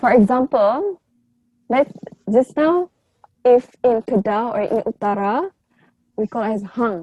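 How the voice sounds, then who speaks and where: A woman with a Malaysian accent speaks fairly slowly with long, frequent pauses, her fairly high voice dark and mellow in tone and lively in intonation, recorded dry and close with no echo. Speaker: university student. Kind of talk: casual discussion.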